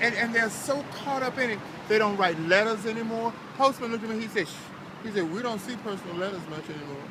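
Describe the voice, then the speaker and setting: A man speaks at a very fast pace in a raised, projected, high voice with ordinary pitch variation. Noticeable background noise and audible room echo come through. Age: 70s. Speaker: homeless man in a wheelchair. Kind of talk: casual chat. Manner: halting.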